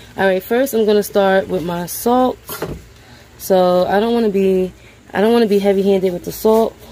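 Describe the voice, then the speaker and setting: Light background noise sits behind a woman's voice. She talks at a fairly quick pace with fairly even intonation. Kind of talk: cooking tutorial. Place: kitchen.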